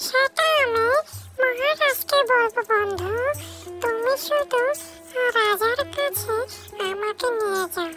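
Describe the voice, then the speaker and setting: In a cartoonish character voice, someone squeaks at an extremely high pitch and a very slow pace over clear background music. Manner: gentle, addresses others as friend.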